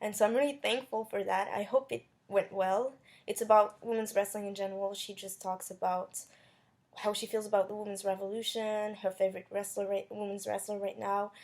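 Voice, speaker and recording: Speaking at a fairly quick pace with a non-native accent, a woman keeps a medium pitch in a monotone, flat intonation. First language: not English. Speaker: YouTuber interviewing wrestler. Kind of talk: casual vlog intro; interview. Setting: comic convention. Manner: hesitant.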